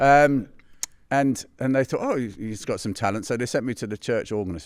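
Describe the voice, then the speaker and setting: A man with a London accent at a fairly quick pace, on a very clean recording with a silent background. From West London, England. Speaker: pianist. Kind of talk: interview. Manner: halting.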